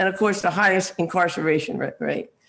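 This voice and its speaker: Here a man speaks with an American accent at a high pitch. His delivery is very fast, with fairly even intonation. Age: 70s. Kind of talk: panel discussion.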